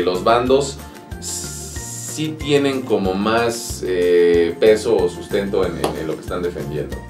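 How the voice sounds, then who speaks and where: Clear music plays in the background as a man speaks in a very deep, low pitch, with audible room echo. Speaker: voice actor. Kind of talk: interview answer. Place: studio.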